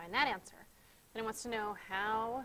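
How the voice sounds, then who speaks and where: The woman's pitch is fairly high. She talks at a moderate speed. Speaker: schoolteacher. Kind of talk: tutorial.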